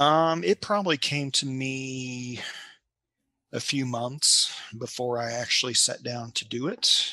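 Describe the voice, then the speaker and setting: In a quiet setting with a dry sound and no echo, a man of medium pitch talks at a very slow pace in a bright, sharp tone with a slight Kentucky accent. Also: ordinary pitch variation. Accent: light Kentucky Southern. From Kentucky, US. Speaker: novelist and librarian. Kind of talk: casual interview chat. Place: home room. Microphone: headset.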